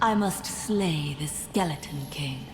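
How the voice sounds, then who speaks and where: A put-on character voice at middle pitch over clear background noise. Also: fairly slow pace. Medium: video game. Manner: detached, flat.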